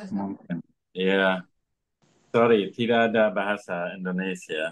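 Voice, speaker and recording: A man's fairly low voice, fairly even in intonation, at a very slow pace. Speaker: native-speaker language teacher. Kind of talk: self-introduction in online meeting. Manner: halting, mixes English and Indonesian.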